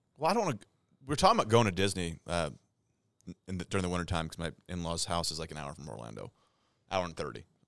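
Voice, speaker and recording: Speaking at a very fast pace with long, frequent pauses, a man with a Midwestern US accent uses a very deep, low pitch, vocal fry, lively intonation and big swings in loudness. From St. Louis, Missouri. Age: 30s. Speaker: podcast co-host. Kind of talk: casual chat.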